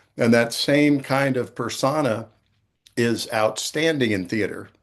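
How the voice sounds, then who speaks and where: Against a quiet background, a man speaks at a fairly slow pace with a medium pitch and ordinary pitch variation. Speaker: podcast host. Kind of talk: interview. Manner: loud.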